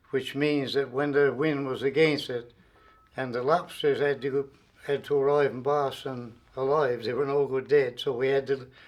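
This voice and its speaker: This man speaks with a Newfoundland accent at a moderate pace. His pitch is fairly high. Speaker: retired railway worker. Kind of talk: oral history interview.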